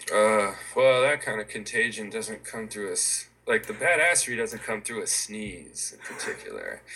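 A man speaks at a moderate pace, his loudness swinging widely. Noticeable background noise runs underneath. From New Mexico. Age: 40s. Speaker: tattoo artist. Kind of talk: casual chat. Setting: video call.

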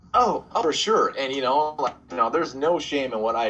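A man with an American accent, bright and sharp in tone, ordinary pitch variation, quiet background. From US Pacific Northwest, Portland. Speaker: artist and designer. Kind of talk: casual interview chat. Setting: call on his phone.

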